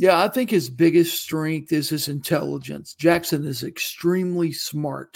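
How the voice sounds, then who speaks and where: A man with an American accent speaks at a fairly slow pace in an ordinary speaking voice. His pitch is fairly high with ordinary variation, and the recording is very clean with a silent background. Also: hardly any pauses. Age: 50s. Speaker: college football reporter. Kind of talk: sports preview interview.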